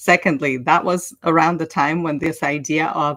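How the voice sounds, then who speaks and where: A woman's very deep, low voice in a Russian accent, in a very clean recording with a silent background. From Ukraine. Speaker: online language teacher and coach. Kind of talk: casual livestream talk.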